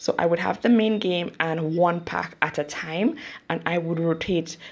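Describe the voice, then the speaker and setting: A woman's fairly low voice with a Saint Lucian accent. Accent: St. Lucian English. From St. Lucia. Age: 30s. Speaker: YouTuber and mother. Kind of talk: interview. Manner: halting.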